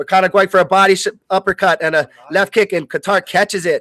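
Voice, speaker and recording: A man sounds excited. The recording is very clean, with a silent background, and the sound is dry and close with no echo. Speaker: live fight commentator. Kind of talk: live sports play-by-play commentary. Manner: fast, excited.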